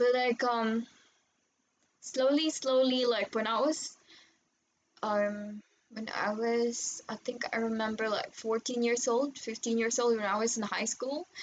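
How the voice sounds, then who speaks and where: Long, frequent pauses break up a fairly slow delivery in a Filipino accent with fairly even intonation. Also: woman, fairly high pitch for a woman. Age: 20s. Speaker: vlogger. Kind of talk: personal testimony. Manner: hesitant, many fillers.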